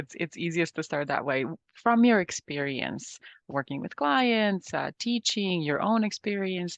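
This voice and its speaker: A woman with a Serbian accent, at a fairly low pitch and fairly slow pace, with lively intonation. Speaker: podcast host and business coach. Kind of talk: interview podcast.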